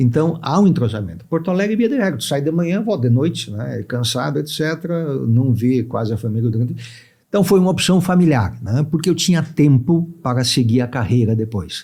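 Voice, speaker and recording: Somewhat breathy and dark, mellow in tone, a man speaks at a fairly quick pace with a fairly high pitch and very wide pitch swings. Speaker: judge and law professor. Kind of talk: podcast interview. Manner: conversational, frequent fillers.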